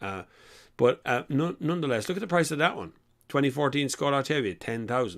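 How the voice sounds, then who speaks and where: With an Irish accent, a man speaks in an animated, bright, sharp tone, fairly high in pitch with vocal fry. The recording is very clean, with a silent background. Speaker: car chat show host. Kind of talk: live-stream casual chat. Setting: live stream.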